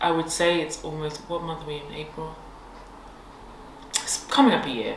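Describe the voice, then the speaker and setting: A woman with a London accent speaks at a moderate pace in a very deep, low voice with fairly even intonation and big swings in loudness. Audible room echo and noticeable background noise surround her. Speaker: podcast co-host. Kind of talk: casual chat.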